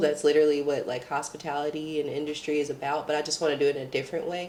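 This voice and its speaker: A woman with an Arkansas accent at a very fast pace, noticeable background noise behind her. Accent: Southern US (Arkansas). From US South, Little Rock, Arkansas. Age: 20s. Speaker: artist, waitress and nursing student. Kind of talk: casual chat.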